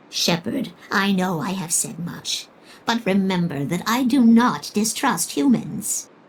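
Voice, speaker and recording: A female-sounding voice puts on a character voice. Its pitch sits at a medium level for a woman. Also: fairly slow pace. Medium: video game. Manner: genteel, slightly old-fashioned.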